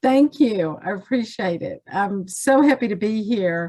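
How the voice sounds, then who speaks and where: Over a silent background in a very clean recording, a woman with a Southern US accent speaks at a fairly slow pace. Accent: Southern twang. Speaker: census data specialist. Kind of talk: training presentation.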